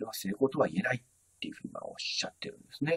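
A man's voice, dry and close with no echo. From Japan, Tokyo. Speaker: YouTuber, business educator. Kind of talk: solo talk introducing a business figure. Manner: polite, with many fillers.

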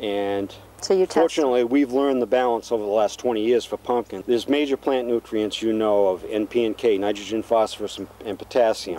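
A man talks at a fairly quick pace with ordinary pitch variation, and the sound is dry with no echo. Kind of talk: interview answer. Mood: calm, informative. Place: garden.

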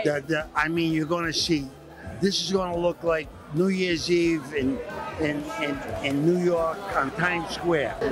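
Speaking at a fairly slow pace, a man with a high voice is heard in a dry sound with no echo over noticeable background noise. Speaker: boxing promoter. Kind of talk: casual interview answer. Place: hall. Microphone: handheld.

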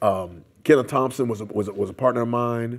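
This is a man's voice. His pitch varies in an ordinary way. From US Midwest (Detroit, Columbus). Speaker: community activist; interviewee. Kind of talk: oral history interview. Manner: loud; animated. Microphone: lapel.

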